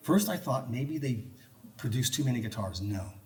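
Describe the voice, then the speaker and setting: Through noticeable background noise comes a man's medium-pitched voice with ordinary pitch variation. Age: 70s. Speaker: researcher and lecturer on guitar history. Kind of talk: public talk to a live audience. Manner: animated, joking.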